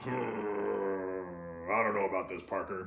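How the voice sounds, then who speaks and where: Putting on a character voice, a man rumbles gruffly at a very deep, low pitch and a very slow pace, with clear background noise. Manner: grumbling, gruff, complaining.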